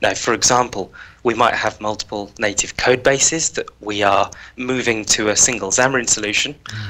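This man's tone is bright and sharp. He keeps a moderate pace. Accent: British. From UK. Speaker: software engineer on a customer advisory team; guest. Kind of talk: technical tutorial. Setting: video call. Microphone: headset.

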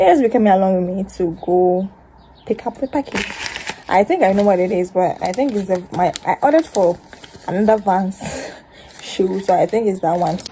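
A woman's voice with ordinary pitch variation over light background noise. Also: fairly quick pace. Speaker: vlogger. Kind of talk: casual vlog chat. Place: home room. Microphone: phone near.

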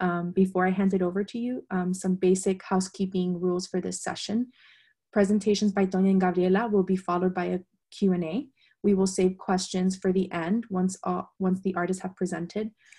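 A woman talks at a fairly quick pace in a somewhat breathy, dark, mellow tone with monotone, flat intonation. The background is quiet. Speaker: moderator for an arts organization. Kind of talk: webinar introduction. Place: home room. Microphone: video call.

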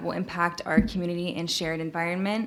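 Speaking at a very fast pace with fairly even intonation, a woman with an American accent is heard over noticeable background noise. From Texas. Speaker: member of the public giving testimony. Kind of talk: public hearing testimony read from phone. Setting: public hearing venue.

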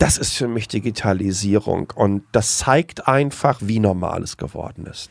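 A man with a plain, everyday voice speaks at a fairly slow pace and a fairly low pitch. His pitch varies in an ordinary way while his loudness swings widely. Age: 40s. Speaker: tech blogger and communicator. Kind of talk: interview.

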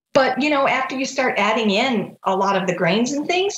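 A woman speaks at a moderate pace with a fairly high pitch and very wide pitch swings. Her voice carries audible room echo. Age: 50s. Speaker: rheumatoid arthritis patient. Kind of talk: interview. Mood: warm, reflective. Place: home room. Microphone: video call.

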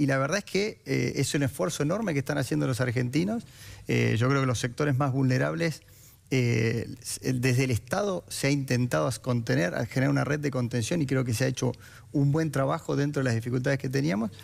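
Loudness stays very even, with ordinary pitch variation. The background is quiet. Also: man, fairly quick pace. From Argentina, Santa Fe. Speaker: politician. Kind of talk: political debate. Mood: calm, persuasive, defending policy. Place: studio. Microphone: headset.

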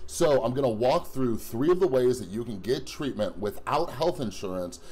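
The man has a dark, mellow tone and lively intonation. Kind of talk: casual vlog chat. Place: home room. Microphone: phone near.

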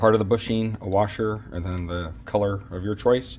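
With light background noise behind him, a man speaks at a moderate pace in a fairly low voice with ordinary pitch variation. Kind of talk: tutorial. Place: garage. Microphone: phone near.

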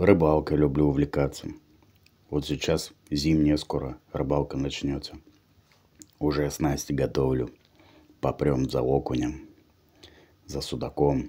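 Over a quiet background, a man with a very deep, low pitch and a dark, mellow tone speaks at a very slow pace in a monotone, flat intonation, with vocal fry and long, frequent pauses. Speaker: mukbang vlogger. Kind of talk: casual vlog chat. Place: home room. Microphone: phone near.

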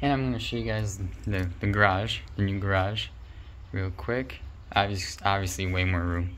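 A man speaks at a moderate pace in a fairly low pitch, with ordinary pitch variation. He has an unremarkable speaking voice, and light background noise can be heard. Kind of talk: casual vlog chat. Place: garage. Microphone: phone near.

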